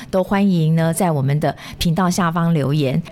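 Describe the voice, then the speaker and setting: Noticeable background noise sits behind a woman who talks at a fairly low pitch. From Taiwan (Yonghe, New Taipei). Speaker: podcast host, nursing lecturer. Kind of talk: casual interview chat.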